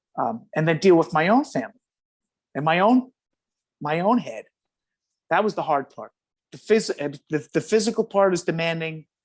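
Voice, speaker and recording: A man with a New York accent and a high pitch speaks at a moderate pace with lively intonation and long, frequent pauses, the sound dry and close, with no echo. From New York City. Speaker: retired firefighter. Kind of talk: interview. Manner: halting.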